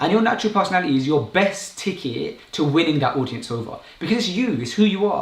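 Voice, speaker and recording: A man's very fast, high-pitched speech with hardly any pauses and very wide pitch swings, over noticeable background noise. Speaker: YouTuber and public speaker. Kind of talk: live stream talk. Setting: live stream. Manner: casual, unscripted.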